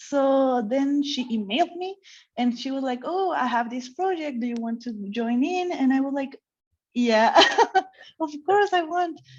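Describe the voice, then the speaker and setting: Speaking with a Mexican accent, a woman talks at a fairly slow pace in a high pitch. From Mexico. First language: Spanish. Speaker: comic artist. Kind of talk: interview chat. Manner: halting.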